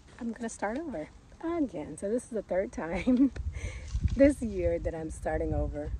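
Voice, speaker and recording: A woman's voice sounds dry, with no echo. Noticeable background noise runs beneath it. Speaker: gardening vlogger. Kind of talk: casual vlog chat. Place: garden. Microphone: phone near.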